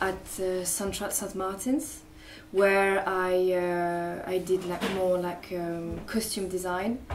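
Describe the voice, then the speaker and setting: With a French accent and a medium pitch, a woman speaks very slowly amid noticeable background noise and audible room echo. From France, Paris. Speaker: artist and fashion designer. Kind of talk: interview. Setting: cafe. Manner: halting, many fillers.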